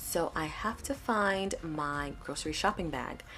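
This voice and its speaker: A woman speaks in a soft-spoken way. Her pace is fairly slow. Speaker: planner video creator. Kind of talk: tutorial voice-over. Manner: quiet.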